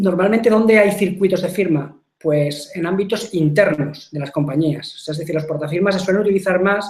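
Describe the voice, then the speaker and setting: A man with a high pitch, fairly quick pace and fairly even intonation. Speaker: software company technical presenter. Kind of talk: webinar product presentation. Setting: online webinar broadcast. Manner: fast; hesitant, repeats words.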